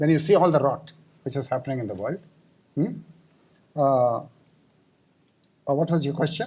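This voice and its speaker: A somewhat breathy voice with a dark, mellow tone moves at a moderate pace with ordinary pitch variation and long, frequent pauses. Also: man, fairly high pitch for a man. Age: 70s. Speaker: spiritual teacher. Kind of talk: panel discussion. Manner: emphatic, rhetorical questions.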